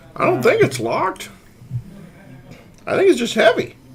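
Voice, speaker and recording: A man's put-on character voice at a moderate pace. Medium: actual play.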